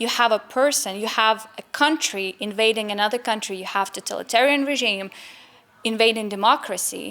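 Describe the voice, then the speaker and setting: A woman's fairly high voice with a Ukrainian accent, ordinary pitch variation and a fairly quick pace, over noticeable background noise. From Ukraine. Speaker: member of a Ukraine support organization. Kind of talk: interview. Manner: halting, with fillers.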